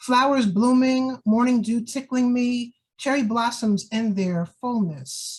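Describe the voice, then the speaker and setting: With a New York accent, a woman talks at a very slow pace in a fairly high pitch. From New York (Jamaica, Queens). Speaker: poet. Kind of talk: casual talk about her books; poetry reading.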